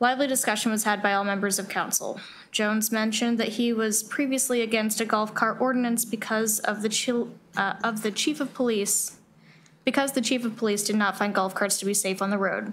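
A woman talks at a fairly quick pace with very even loudness and fairly even intonation. Light background noise is present. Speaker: council member or clerk reading minutes. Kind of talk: reading meeting minutes aloud. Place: hall. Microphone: podium.

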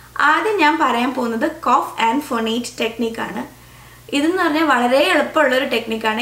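Ordinary pitch variation with audible room echo. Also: woman, high pitch for a woman. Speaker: audiologist and speech language pathologist. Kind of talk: educational explainer to camera. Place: home room.

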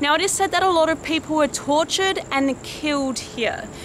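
Against noticeable background noise, a woman speaks at a fairly quick pace with lively intonation and a dry sound with no echo. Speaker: paranormal explorer vlogger. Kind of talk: presenter to camera. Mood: spooked, hushed. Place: street. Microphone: phone near.

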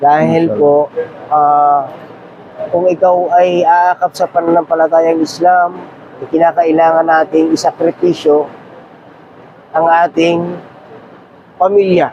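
A man's high voice moves at a very slow pace, broken by long, frequent pauses. His intonation is monotone and flat, his loudness very even, with noticeable background noise behind him. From Quezon province, Philippines. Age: 40s. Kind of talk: testimony. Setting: outdoors at Mina during Hajj. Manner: halting.

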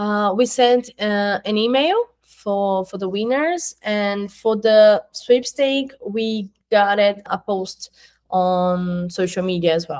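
A woman speaks very slowly with a Portuguese accent. Her pitch varies in an ordinary way over a quiet background. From Brazil. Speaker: marketing coordinator at an education company; interviewee. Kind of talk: interview. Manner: halting, with fillers. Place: home room.

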